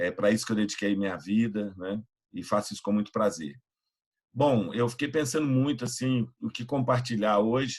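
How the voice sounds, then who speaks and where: This is a man with a normal speaking voice and ordinary pitch variation. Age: 60s. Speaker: pastor and youth evangelist. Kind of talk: online mentoring talk.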